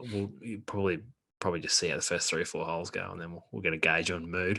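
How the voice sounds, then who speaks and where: A man with a very deep, low pitch and a bright, sharp tone. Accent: Australian. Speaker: golf podcast host. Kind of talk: casual chat.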